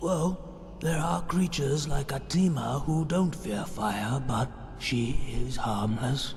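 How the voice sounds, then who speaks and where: Through clear background noise, a man puts on a character voice at a medium pitch and a fairly slow pace. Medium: machinima. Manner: calm, explanatory.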